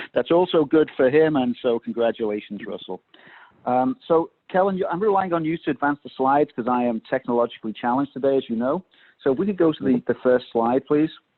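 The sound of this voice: A man talks at a fairly quick pace with ordinary pitch variation, in a dry, close sound with no echo.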